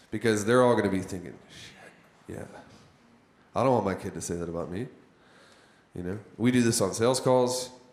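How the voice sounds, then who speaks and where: A man's fairly low voice at a moderate pace, with long, frequent pauses, big swings in loudness, ordinary pitch variation and audible room echo. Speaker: business coach teaching copywriting. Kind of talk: workshop lecture. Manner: halting, self-described stuttering.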